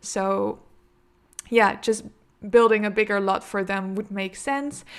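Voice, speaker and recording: In a very clean recording with a silent background, a woman with a Dutch accent speaks at a medium pitch in a monotone, flat manner. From Netherlands. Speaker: gaming YouTuber. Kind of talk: casual gameplay commentary. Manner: hesitant, many fillers.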